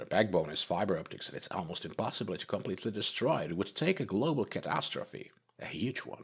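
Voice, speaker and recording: Putting on a character voice, a man with a fairly low pitch rattles along at a very fast pace with hardly any pauses, and there is hissing. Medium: read story.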